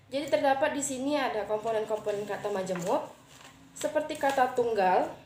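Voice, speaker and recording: A woman with a high voice talks fairly quickly, her pitch varying in an ordinary way, with noticeable background noise behind her. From Riau, Siak regency (Indonesia). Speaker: university student. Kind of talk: class assignment presentation. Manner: hesitant, with frequent fillers.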